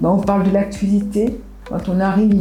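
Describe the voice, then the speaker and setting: Music plays in the background as a woman speaks, with audible room echo around her. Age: 70s. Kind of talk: interview testimony. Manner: halting, many hesitations and restarts.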